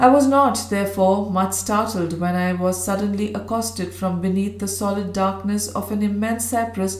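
The voice heard here reads in a natural way.

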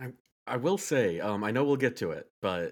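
Lively intonation marks this man's speech, heard on a very clean recording with a silent background. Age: 30s. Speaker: game reviewer, podcast co-host. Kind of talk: casual chat.

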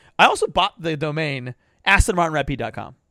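With a bright, sharp tone, a man speaks at a very fast pace and high pitch on a very clean recording with a silent background and a dry, close sound with no echo. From Persian heritage. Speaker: podcast host. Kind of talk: casual chat. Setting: outdoors.

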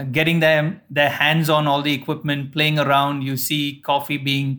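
At a moderate pace, a man speaks in a monotone, flat intonation at a fairly high pitch. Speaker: coffee planter. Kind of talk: interview.

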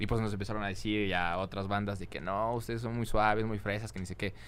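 This man speaks with a fairly low pitch. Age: young. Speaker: singer and influencer. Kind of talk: casual chat.

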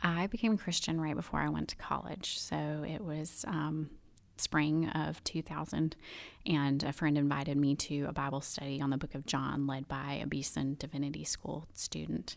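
Over a very clean recording with a silent background, a woman speaks in a Southern US accent. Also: moderate pace. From US South, Birmingham, Alabama. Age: 30s. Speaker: stay-at-home mom. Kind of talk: testimony.

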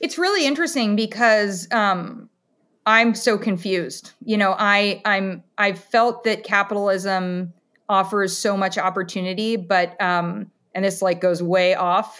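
A woman at medium pitch with a US Midwestern accent, speaking at a fairly slow pace. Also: ordinary pitch variation. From Ohio, US Midwest (Columbus). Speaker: dietitian. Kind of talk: interview conversation.

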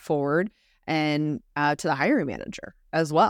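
The woman's voice comes across dry and close, with no echo at all. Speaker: recruiting podcast co-host. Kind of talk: casual chat. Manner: fast talker; animated.

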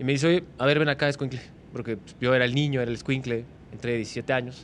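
Here a man talks at a medium pitch with fairly even intonation. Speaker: sports broadcaster. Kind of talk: casual interview chat.

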